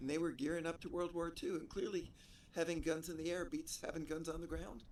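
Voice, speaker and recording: Very fast and high-pitched, a man talks with fairly even intonation. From New Jersey, US. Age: 80s+. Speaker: interviewee, stranger. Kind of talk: casual interview chat.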